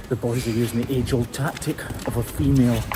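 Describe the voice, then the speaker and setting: Over music in the background, a man talks at a fairly quick pace in a medium-pitched voice. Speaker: hoof trimmer. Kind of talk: video voiceover narration.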